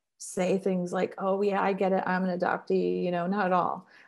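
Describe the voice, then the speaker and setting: A woman with a Midwestern American accent speaks against a quiet background. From Ohio, Columbus. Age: 50s. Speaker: therapist. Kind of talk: interview.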